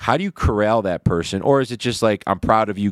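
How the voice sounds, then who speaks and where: A man with a Michigan accent talks at a fairly quick pace with ordinary pitch variation, the sound dry and close with no echo on a very clean recording with a silent background. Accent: Michigan American. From Detroit east side, Michigan. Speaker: podcast host, real estate businessman. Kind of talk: casual chat. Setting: hotel room.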